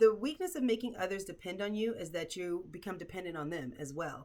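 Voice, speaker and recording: Her tone animated and her intonation lively, a woman talks at a fairly quick pace. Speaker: self-help video host. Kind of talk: casual commentary to camera. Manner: fast.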